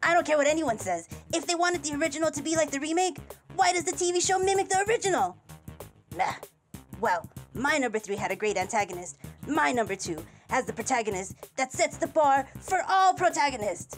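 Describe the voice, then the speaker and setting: A cartoonish character voice, high in pitch, moves at a fairly quick pace with very wide pitch swings. Faint music plays in the background. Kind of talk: countdown list talk to camera. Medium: puppet.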